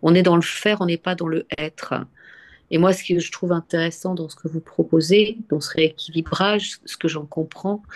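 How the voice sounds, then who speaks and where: Fairly low-pitched female voice at a moderate pace, fairly even in intonation, with a dry, close sound and no echo. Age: 60s. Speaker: webinar participant. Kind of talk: personal sharing in group discussion. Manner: halting, many repetitions and hesitations.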